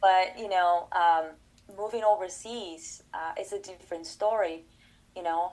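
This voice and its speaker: A woman speaks with a Portuguese accent at a medium pitch and ordinary pitch variation. Her pace is fairly slow, and her loudness swings widely. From Brazil. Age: 30s. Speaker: collaborative pianist and professor. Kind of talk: interview conversation. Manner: halting, many fillers.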